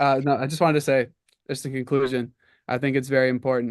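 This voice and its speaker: In a quiet background, a man with an unremarkable speaking voice talks at medium pitch with fairly even intonation. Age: young. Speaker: college student. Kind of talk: legislative testimony.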